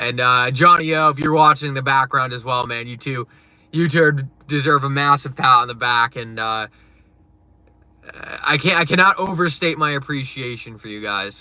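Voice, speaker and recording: With a northeastern US accent, a man speaks at a medium pitch and moderate pace, with ordinary pitch variation, big swings in loudness and long, frequent pauses. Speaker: crypto live streamer. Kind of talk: live stream chat. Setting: live stream. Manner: casual, filler-heavy.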